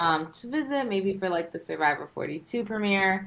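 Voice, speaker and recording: An American accent colors this woman's medium-pitched speech, delivered at a moderate pace. She has an ordinary speaking voice. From Los Angeles. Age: 20s. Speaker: reality TV contestant and law student. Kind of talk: casual chat.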